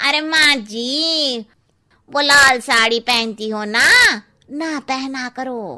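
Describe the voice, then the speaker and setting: Using a cartoonish character voice, the speaker goes at a very slow pace with ordinary pitch variation. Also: woman, high pitch for a woman. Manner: blunt, cheeky.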